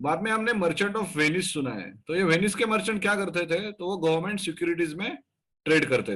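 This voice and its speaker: A man's high-pitched voice with a bright, sharp tone, moderate pace, and ordinary pitch variation. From Maharashtra, India. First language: Marathi (speaking Hindi). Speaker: stock market educator. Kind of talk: educational talk. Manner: hesitant with fillers.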